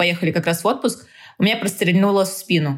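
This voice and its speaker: This woman speaks at a medium pitch. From Tajikistan (Dushanbe), moved to Samara as a child. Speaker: fitness trainer. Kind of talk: casual interview chat.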